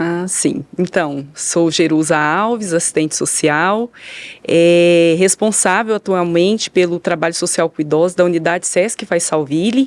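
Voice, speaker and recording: A woman with a fairly low pitch talks at a fairly slow pace in an ordinary speaking voice with ordinary pitch variation. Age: 40s. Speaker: social worker. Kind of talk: podcast interview. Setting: studio.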